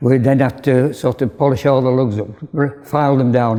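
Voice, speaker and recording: A dark, mellow tone in a Yorkshire accent at a moderate pace. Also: man. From northern England, Bradford, West Yorkshire. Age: 80s+. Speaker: retired cycle frame builder. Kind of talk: interview.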